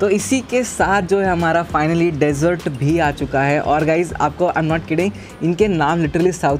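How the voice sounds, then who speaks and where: Over music in the background, a man talks at a moderate pace with hardly any pauses. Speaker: food vlogger. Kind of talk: casual food review vlog chat. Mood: delighted, enthusiastic. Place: cafe. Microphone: lapel.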